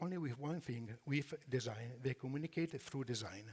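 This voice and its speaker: A somewhat breathy man with an Italian accent, fairly high pitch, ordinary pitch variation and a moderate pace. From Italy. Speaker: furniture company executive. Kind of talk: conference presentation. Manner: halting.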